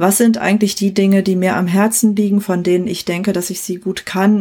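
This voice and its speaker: A woman speaks at a moderate pace. Hers is a plain, everyday voice at a medium pitch. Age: 40s. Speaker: coach and trainee therapist. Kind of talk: interview, personal conversation.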